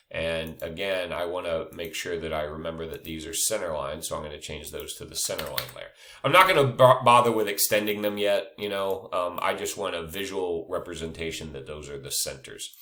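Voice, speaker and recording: A man speaks with hardly any pauses and big swings in loudness, against noticeable background noise and audible room echo. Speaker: engineering drafting instructor. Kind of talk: screen-recorded tutorial. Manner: hesitant with many fillers.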